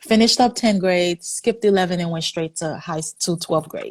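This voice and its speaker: A somewhat breathy woman's voice with ordinary pitch variation and a dry, close sound with no echo. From Haiti. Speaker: physician. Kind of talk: interview.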